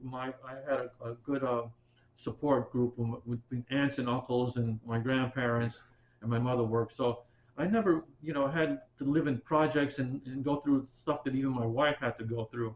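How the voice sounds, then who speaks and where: Talking at a moderate pace, a man with a New York accent uses a medium pitch and fairly even intonation. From Bronx, New York. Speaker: military veteran and retired teacher. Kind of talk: oral history interview answer.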